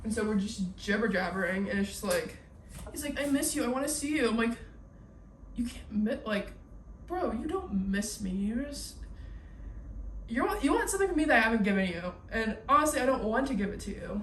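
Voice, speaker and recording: A woman with a fairly high pitch speaks at a fairly quick pace in an animated tone with lively intonation, leaving long, frequent pauses, with audible room echo and noticeable background noise. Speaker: YouTuber, college student. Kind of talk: casual chat. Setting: at home cleaning kitchen. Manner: fast.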